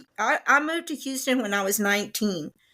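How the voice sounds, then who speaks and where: Heard on a very clean recording with a silent background, a woman with a Texan accent speaks with lively intonation. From Texas, Waco. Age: 60s. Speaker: guest, host's mother. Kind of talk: casual chat.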